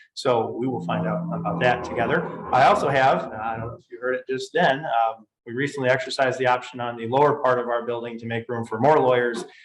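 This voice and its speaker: Talking at a very fast pace with an Upper Midwest accent, a man holds a medium pitch and ordinary pitch variation while his loudness swings widely. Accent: Upper Midwest American. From Michigan, Grand Rapids. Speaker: tax and estate lawyer. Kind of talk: webinar presentation. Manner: casual with fillers.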